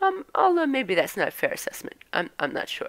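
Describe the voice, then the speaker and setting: A woman with a Norwegian accent on a very clean recording with a silent background. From mixed: Norwegian parents, raised abroad, high school in Scotland. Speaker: vlogger. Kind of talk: casual monologue. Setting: home, live stream at computer. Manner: halting, many fillers and restarts.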